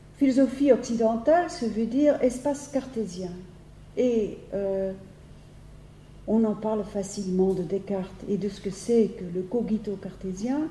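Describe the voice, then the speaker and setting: A woman with a fairly high pitch speaks with long, frequent pauses. There is audible room echo. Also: ordinary pitch variation, fairly slow pace. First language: Dutch (speaking French). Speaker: philosophy professor. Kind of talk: lecture. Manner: halting, many hesitations and repetitions.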